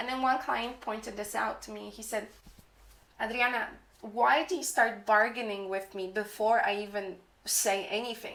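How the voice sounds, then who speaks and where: A woman talks at a moderate pace with a fairly high pitch and ordinary pitch variation. Vocal fry runs through her voice. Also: big swings in loudness. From moved to England at about ten or eleven. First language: not English. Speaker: freelance copywriter and YouTuber. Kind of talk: tutorial. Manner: casual, chatty with fillers.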